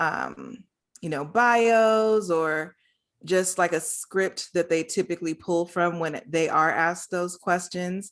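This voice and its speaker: The recording is very clean, with a silent background. A woman speaks fairly slowly at a medium pitch with ordinary pitch variation. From US West Coast, Los Angeles. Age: 40s. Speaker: social services worker and energy worker. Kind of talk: casual interview.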